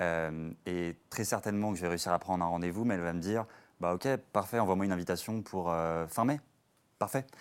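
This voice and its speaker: A man's very deep, low voice comes through fairly quickly on a very clean recording against a silent background, its pitch varying in an ordinary way. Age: 20s. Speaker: startup salesperson. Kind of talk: panel discussion.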